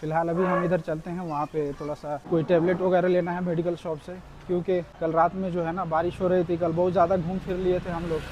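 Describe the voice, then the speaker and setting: A man speaks at a high pitch with monotone, flat intonation. Noticeable background noise runs behind him. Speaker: travel vlogger. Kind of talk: travel vlog narration. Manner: casual, conversational.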